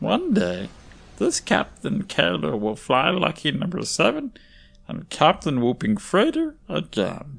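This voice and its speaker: In a put-on character voice, the speaker goes at a fairly slow pace. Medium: audio drama. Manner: broken, simplified speech, refers to self in third person.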